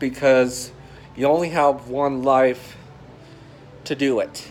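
A man's voice over light background noise. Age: 20s. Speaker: YouTuber. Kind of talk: personal vlog monologue. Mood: earnest, personal, reflective. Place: home room. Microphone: phone near.

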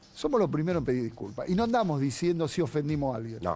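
A man with a Rioplatense accent talks with very wide swings in pitch. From Argentina. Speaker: TV show host. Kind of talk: TV panel commentary. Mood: firm, defensive, impassioned. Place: studio. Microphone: lapel.

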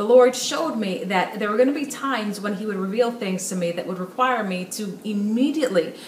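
Audible room echo and light background noise surround a woman speaking with ordinary pitch variation. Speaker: speaker. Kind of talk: sermon-like direct-to-camera message. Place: home room.

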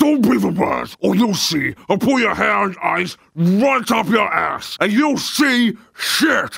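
A man puts on a raspy character voice pitched high. He speaks fairly slowly with hardly any pauses. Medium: dub. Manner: aggressive, profane.

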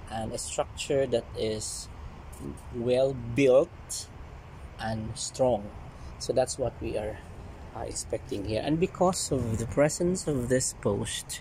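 A man's very slow speech comes through light background noise. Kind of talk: casual vlog chat. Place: garden. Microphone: phone near.

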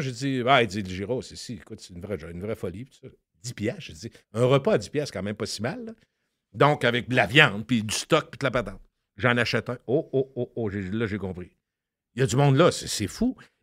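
A man with a Quebec accent speaks fairly quickly at medium pitch, his intonation lively. The very clean recording has a silent background and a dry, close sound with no echo. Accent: Québécois French. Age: 60s. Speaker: radio host and podcaster. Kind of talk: casual chat.

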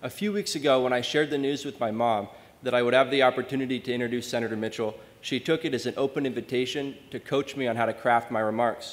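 Very fast speech comes from a man with an American accent. His pitch varies by an ordinary amount. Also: medium pitch for a man. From Maine, US. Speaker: undergraduate scholarship student; speaker. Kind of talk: prepared introduction speech. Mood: warm, grateful. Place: hall.

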